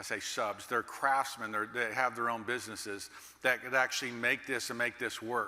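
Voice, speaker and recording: With an American accent, a man speaks at medium pitch in a monotone, flat intonation with a bright, sharp tone. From Texas, Dallas. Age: 60s. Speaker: master builder and keynote speaker. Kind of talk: keynote speech.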